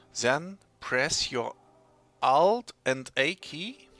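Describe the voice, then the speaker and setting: Music plays in the background as a man with a German accent speaks at a fairly high pitch. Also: dry, close sound with no echo. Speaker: software tutorial maker. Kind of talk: tutorial. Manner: halting, many fillers and restarts.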